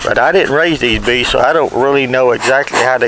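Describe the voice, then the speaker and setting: Over noticeable background noise, a man with a Southern US accent talks at a medium pitch with fairly even intonation. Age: 70s. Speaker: beekeeper. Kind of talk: tutorial. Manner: casual.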